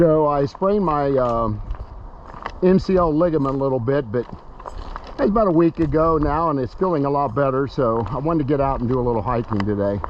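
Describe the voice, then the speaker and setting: Someone with an American accent speaks in a relaxed tone at a fairly quick pace with lively intonation, over noticeable background noise. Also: man. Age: 70s. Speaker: retiree vlogger. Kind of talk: casual vlog narration. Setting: outdoors on a hiking trail. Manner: relaxed, halting with fillers.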